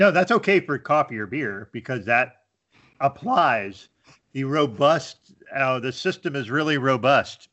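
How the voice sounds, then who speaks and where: An unremarkable speaking voice from a man, medium in pitch, with lively intonation. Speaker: IT worker and beer blogger. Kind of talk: casual interview chat. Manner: relaxed, conversational.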